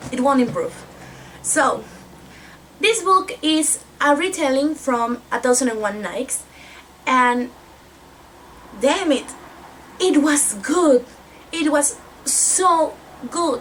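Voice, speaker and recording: Over noticeable background noise, a woman with a Spanish accent speaks at a very slow pace with long, frequent pauses, a high pitch and lively intonation. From Mexico. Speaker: book vlogger. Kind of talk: casual book review vlog.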